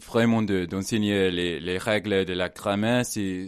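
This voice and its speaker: A man with an English accent and a fairly low pitch, very slow pace, quiet background. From England. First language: English (speaking French). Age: 20s. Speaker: language assistant. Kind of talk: radio interview. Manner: halting.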